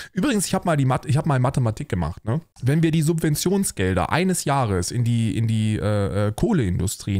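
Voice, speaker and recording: A man talks at a fairly quick pace in a dark, mellow tone with very wide pitch swings. The sound is dry with no echo, over a quiet background. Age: 30s. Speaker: streamer reacting to videos. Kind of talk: livestream reaction commentary. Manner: animated. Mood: sarcastic, animated. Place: home room.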